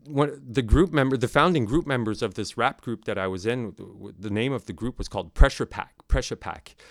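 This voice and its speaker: A man with lively intonation, in a very clean recording with a silent background. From Nunavut, Canadian Arctic. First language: Inuktitut. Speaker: sound and video artist. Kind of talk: recorded interview, conversational. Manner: halting, many fillers and repeats.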